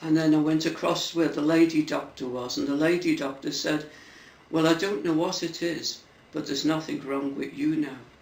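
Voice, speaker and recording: Fairly high male voice, ordinary pitch variation, audible room echo. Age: 70s. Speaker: churchgoer. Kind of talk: testimony. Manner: halting.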